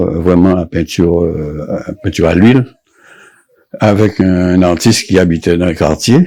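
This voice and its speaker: Very deep, low man's voice with a dark, mellow tone and ordinary pitch variation. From Guadeloupe, Pointe-à-Pitre. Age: 70s. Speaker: painter. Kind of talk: interview. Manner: halting.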